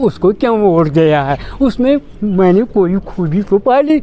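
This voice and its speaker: A man with a high-pitched voice talks with lively intonation over noticeable background noise. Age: 70s. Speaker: elderly voter. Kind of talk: street interview.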